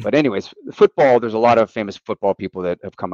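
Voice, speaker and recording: Talking at a very fast pace in a Western Pennsylvania accent, a man with a fairly low pitch uses lively intonation, captured in a dry, close sound with no echo. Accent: Western Pennsylvania American. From Western Pennsylvania, near Pittsburgh. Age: 40s. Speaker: national team football coach. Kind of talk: podcast interview.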